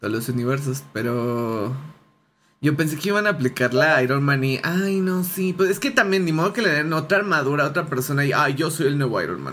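Fairly quick and lively, a man speaks with a Mexican accent. His voice is fairly high, with a bright, sharp tone. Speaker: podcast host. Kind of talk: casual chat. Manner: animated.

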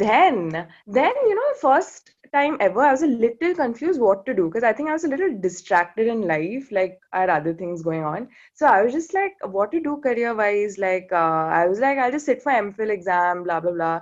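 A woman speaks at a moderate pace with hardly any pauses, her fairly high pitch swinging very widely over a quiet background. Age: 20s. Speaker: PhD student in urban studies. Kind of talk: casual chat. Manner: animated.

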